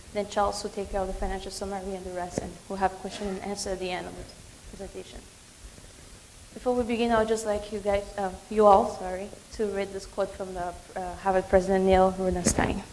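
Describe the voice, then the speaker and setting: Very fast speech with monotone, flat intonation, big swings in loudness and noticeable background noise. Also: woman, medium pitch for a woman. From Cameroon. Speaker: graduate student presenter. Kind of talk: business pitch presentation.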